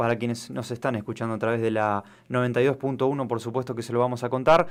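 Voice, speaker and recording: Very quickly, a man rattles off his words. No background sound intrudes on the very clean recording. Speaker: radio sports host. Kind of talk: sports talk radio discussion. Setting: radio studio with live stream.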